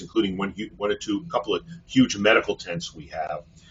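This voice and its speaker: In a New York accent, a man speaks at a fairly quick pace. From Brooklyn, New York City. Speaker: physician and hospital executive. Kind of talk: webinar presentation. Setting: online webinar. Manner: many fillers, uh.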